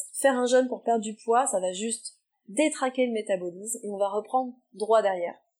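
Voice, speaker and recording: The speaker uses a normal speaking voice. The pace is moderate, with ordinary pitch variation. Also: woman. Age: 30s. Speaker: nutrition therapist. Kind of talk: interview answers.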